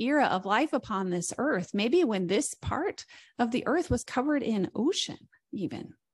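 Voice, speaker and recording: A woman speaks at a moderate pace with a Midwestern American accent. Her pitch swings very widely against a quiet background. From southern Indiana, Greene County. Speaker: guest minister. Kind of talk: sermon. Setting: church service.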